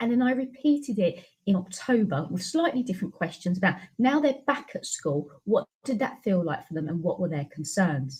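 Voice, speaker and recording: With a British accent, a woman speaks at a moderate pace and medium pitch, her somewhat breathy voice moving through very wide pitch swings. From UK. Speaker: education researcher and teacher. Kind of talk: webinar presentation. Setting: online webinar.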